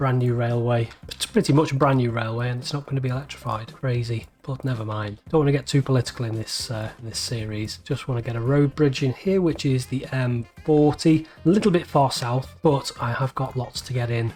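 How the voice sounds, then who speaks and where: A man's medium-pitched voice with a Liverpool accent, fairly quick and with hardly any pauses, ordinary pitch variation, music in the background. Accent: Scouse. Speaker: video game let's play creator. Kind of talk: gameplay commentary. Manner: casual, thinking aloud.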